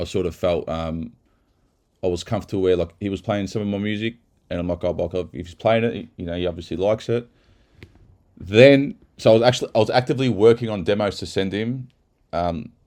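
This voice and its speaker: A man with an Australian accent and fairly low pitch, very fast yet broken by long, frequent pauses, animated in tone with ordinary pitch variation and big swings in loudness, over a quiet background. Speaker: techno producer and mastering engineer. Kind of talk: casual video commentary. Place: studio.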